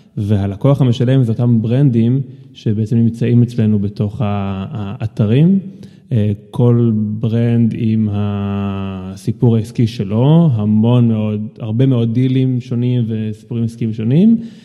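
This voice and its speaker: This man's pitch is medium. He speaks at a very slow pace with fairly even intonation. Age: 30s. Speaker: product executive. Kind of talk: casual interview. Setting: home studio.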